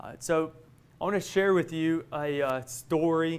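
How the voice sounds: The pitch is fairly high for a man. He speaks with ordinary pitch variation.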